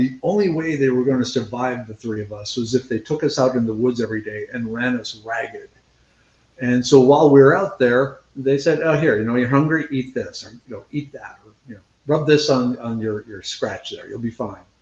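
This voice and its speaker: With a plain, everyday voice, a man talks at a fairly quick pace and medium pitch, with ordinary pitch variation and big swings in loudness. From central Minnesota. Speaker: scientist and foraging instructor. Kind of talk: interview. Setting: live video interview. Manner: casual, conversational.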